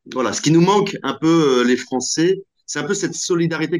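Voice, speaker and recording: Using ordinary pitch variation, a man speaks at a fairly quick pace. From Normandy, France. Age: 40s. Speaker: entrepreneur, app founder. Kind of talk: interview. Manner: hesitant, many fillers.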